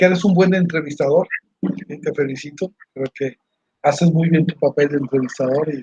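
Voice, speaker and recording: In a dry, close sound with no echo, a man with an ordinary speaking voice talks at a moderate pace and a fairly high pitch with fairly even intonation. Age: 60s. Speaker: university staff member. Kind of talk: interview.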